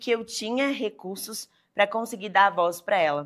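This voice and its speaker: In a very clean recording with a silent background, a woman speaks in a plain, everyday voice of medium pitch with ordinary pitch variation. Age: 20s. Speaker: lawyer. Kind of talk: interview. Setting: studio.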